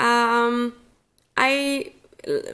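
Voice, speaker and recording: A woman's high-pitched voice with fairly even intonation. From Flanders, Belgium. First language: Dutch. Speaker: crochet teacher. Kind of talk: tutorial. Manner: hesitant, many fillers. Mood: calm, relaxed. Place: home room.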